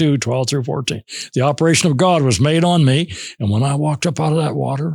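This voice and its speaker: Somewhat breathy and fairly high in pitch, a man talks at a very fast pace with ordinary pitch variation. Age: 80s+. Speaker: preacher. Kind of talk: interview answer. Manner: humorous, heartfelt.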